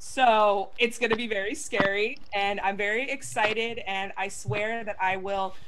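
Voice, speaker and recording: The voice carries audible room echo and ordinary pitch variation. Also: woman. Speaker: gaming show co-host. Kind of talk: casual chat. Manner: animated.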